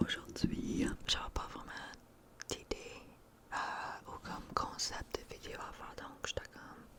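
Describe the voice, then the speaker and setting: A woman whispering very slowly, with long, frequent pauses, big swings in loudness and noticeable background noise. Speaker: ASMR content creator. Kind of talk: casual whispered ramble to camera. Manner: whispered, chatty, mixing French and English.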